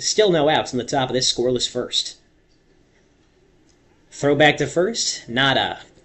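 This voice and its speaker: A man talks at a fairly slow pace. His speech has long, frequent pauses. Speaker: radio baseball play-by-play announcer. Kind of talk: radio baseball play-by-play, half inning sample. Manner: steady, conversational.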